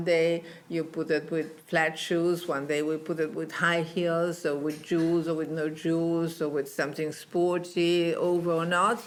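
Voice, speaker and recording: Speaking at a fairly slow pace, a woman with an Italian accent has a fairly low pitch. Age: old. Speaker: fashion designer. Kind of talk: interview. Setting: in person in Milan. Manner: halting.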